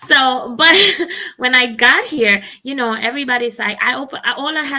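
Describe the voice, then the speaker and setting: A woman speaks in a Spanish accent at a high pitch. Her tone is bright and sharp, with ordinary pitch variation. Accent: Spanish accent in English, noticeable. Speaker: talk show host. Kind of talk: casual chat.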